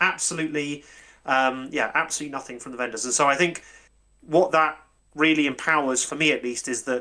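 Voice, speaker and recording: Speaking fairly quickly, a man comes through. His accent is British. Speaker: convention organiser. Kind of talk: casual chat. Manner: halting.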